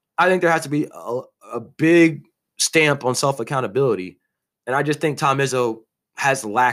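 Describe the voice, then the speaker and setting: Recorded very cleanly against a silent background, a man with a fairly high pitch speaks at a moderate pace in an animated tone with ordinary pitch variation. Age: 20s. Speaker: sports podcast host. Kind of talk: solo sports commentary podcast. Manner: casual, animated.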